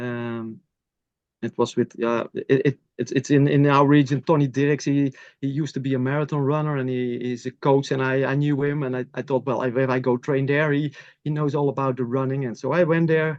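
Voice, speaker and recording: Speaking in a Dutch accent, a man keeps a fairly high pitch with monotone, flat intonation. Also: fairly quick pace. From Netherlands. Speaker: masters athlete. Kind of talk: interview. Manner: halting.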